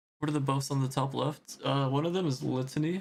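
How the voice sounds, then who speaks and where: The man's voice is somewhat breathy. He speaks with monotone, flat intonation. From United States, Armenian family. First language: Armenian. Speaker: gaming streamer. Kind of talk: casual live stream chat. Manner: relaxed, hesitant with fillers.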